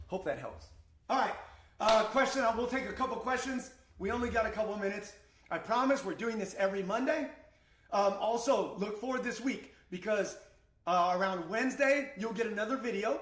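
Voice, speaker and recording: A man shouts loudly in a high pitch at a fairly quick pace, with an animated tone and ordinary pitch variation. Room echo is audible. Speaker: crypto trading streamer. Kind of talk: live stream market analysis. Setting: live stream. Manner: loud, shouting.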